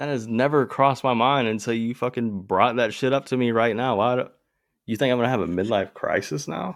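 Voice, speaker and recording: Her pace is fairly quick, though it's a man speaking. His pitch varies in an ordinary way, and his is an unremarkable speaking voice. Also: medium pitch for a man. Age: 20s. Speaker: podcast co-host. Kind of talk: casual chat.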